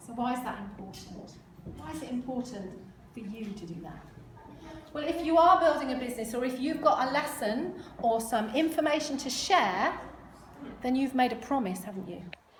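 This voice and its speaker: A woman's high-pitched voice with lively intonation, big swings in loudness and long, frequent pauses, amid audible room echo and noticeable background noise. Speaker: motivational speaker on health. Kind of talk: talk to a live audience. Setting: stage with audience. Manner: fast; animated.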